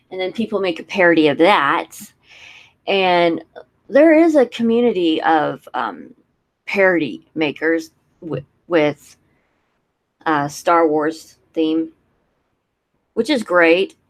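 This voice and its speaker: At a very slow pace with long, frequent pauses, a woman speaks with a fairly low pitch and lively intonation. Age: 30s. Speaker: youtuber. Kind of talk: casual chat. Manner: animated.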